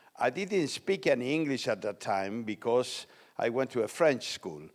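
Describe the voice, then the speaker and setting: Someone speaks at a moderate pace with an Argentine accent. The recording is very clean, with a silent background. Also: man. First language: Spanish. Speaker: economics lecturer. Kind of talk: lecture. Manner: halting.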